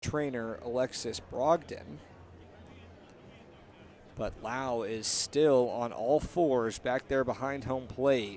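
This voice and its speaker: At a very slow pace with long, frequent pauses, a man speaks at a medium pitch. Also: ordinary pitch variation. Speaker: radio play-by-play announcer. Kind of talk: live baseball radio play-by-play.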